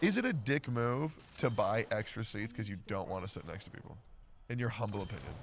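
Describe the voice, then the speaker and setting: The voice has ordinary pitch variation and big swings in loudness. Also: man, medium pitch for a man, fairly quick pace. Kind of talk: casual chat.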